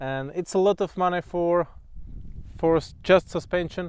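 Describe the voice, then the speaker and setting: Someone with a Czech accent speaks with fairly even intonation against a quiet background. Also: man. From Czech Republic. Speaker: motorcycle vlogger. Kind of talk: product walkthrough. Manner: halting.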